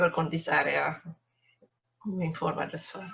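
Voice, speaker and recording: This woman speaks with a Hungarian accent. Her pitch is fairly low. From Hungary. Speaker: workshop participant. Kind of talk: self-introduction.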